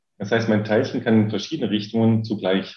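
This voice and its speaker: Speaking at a fairly quick pace, a man with a slight Rhineland accent has a dark, mellow tone and a fairly low pitch. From Rhineland, Germany. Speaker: physics professor. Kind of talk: interview. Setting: video call. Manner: hesitant, many filler sounds.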